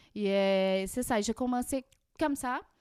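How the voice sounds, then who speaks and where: A woman with a Portuguese accent speaks with ordinary pitch variation in a dry, close sound with no echo. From Brazil. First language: Portuguese (speaking French). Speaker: immigrant guest. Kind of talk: podcast interview. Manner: halting, with many hesitations.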